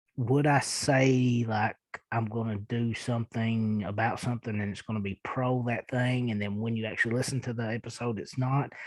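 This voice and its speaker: With a strong Eastern Kentucky accent, a man talks at a moderate pace in a medium pitch and a flat, monotone intonation. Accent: thick Eastern Kentucky. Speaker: podcast host. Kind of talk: casual podcast monologue answering listener emails. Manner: hesitant, many fillers.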